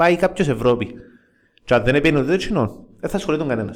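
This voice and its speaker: This man has a fairly high pitch. His pitch swings very widely. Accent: Cypriot. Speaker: football fan podcast host. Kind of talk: casual chat.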